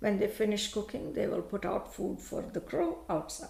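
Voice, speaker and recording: A woman with a Tamil accent speaks amid audible room echo. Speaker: law professor. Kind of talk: panel talk.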